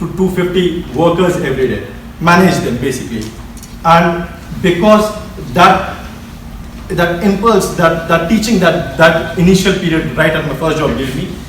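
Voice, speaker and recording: With an Indian accent, a man talks at a high pitch and a moderate pace. Noticeable background noise and audible room echo fill the recording. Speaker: engineer. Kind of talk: speech.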